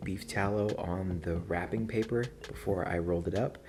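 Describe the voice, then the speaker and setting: A man speaks quietly in a very deep, low voice. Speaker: barbecue video creator. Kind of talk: tutorial vlog. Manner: hushed at night.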